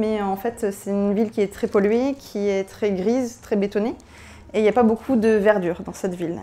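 The dark, mellow tone moves at a moderate pace with fairly even intonation. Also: woman. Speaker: biotech startup founder; presenter. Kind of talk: conference talk. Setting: stage with audience. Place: hall. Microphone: handheld.

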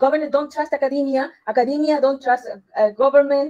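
A woman is speaking. Her voice is pitched high. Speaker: university professor. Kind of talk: Q&A at academic seminar. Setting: video call. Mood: friendly, smiling. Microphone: video call.

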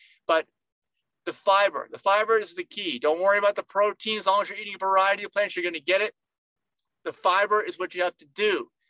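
A man raises and projects his high-pitched voice, talking at a very fast pace with a bright, sharp tone and fairly even intonation in a dry sound with no echo. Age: 50s. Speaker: nutritionist, video host. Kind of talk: informal educational monologue to camera. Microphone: webcam.

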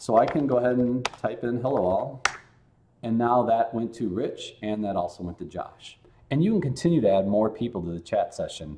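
With audible room echo, a man at medium pitch speaks in a dark, mellow tone with lively intonation. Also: moderate pace.

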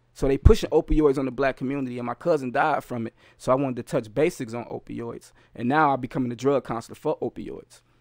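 A man speaks at a very fast pace with fairly even intonation. The background is quiet and the sound is dry, with no echo. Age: 30s. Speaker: rapper and youth educator. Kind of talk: casual chat. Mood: earnest, reflective. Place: home room. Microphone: studio mic.

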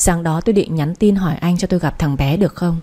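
Somewhat breathy and fairly low in pitch, a woman speaks at a very fast pace. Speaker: radio story narrator. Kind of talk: audiobook story narration. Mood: calm, gentle storytelling. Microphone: studio mic.

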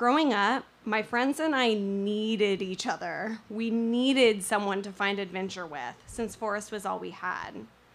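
With an American accent and a plain, everyday voice, a woman speaks at a fairly slow pace with fairly high pitch, ordinary pitch variation and hardly any pauses. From Northern California, rural mountains. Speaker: storyteller. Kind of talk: storytelling performance.

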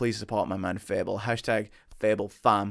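In a quiet setting, a man is talking. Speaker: streamer reacting to music. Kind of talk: casual stream chat. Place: home room.

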